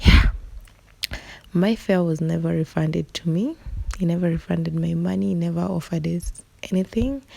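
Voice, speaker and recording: A woman speaks quietly, leaving long, frequent pauses. Noticeable background noise runs beneath her voice. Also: moderate pace. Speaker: beauty vlogger. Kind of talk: storytime voiceover over makeup tutorial. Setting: recorded at night. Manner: low, quiet voice; casual, conversational.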